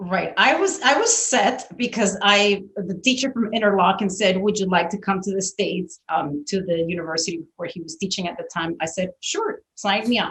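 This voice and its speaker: A woman speaks with a Spanish accent at a medium pitch and a moderate pace. Her pitch varies in an ordinary way, and she hardly pauses. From Venezuela (Caracas). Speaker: orchestral violist. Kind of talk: interview conversation.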